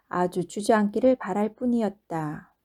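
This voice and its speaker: At a fairly slow pace, a woman with an ordinary speaking voice talks at a fairly high pitch with ordinary pitch variation, in a very clean recording with a silent background. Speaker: non-professional audiobook reader. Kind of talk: audiobook narration of a short story.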